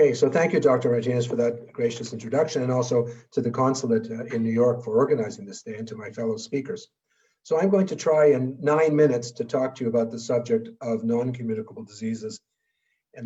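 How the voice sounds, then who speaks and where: A somewhat breathy, dark, mellow tone at a very fast pace. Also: man, big swings in loudness. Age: 70s. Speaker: public health physician presenting at a webinar. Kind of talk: lecture.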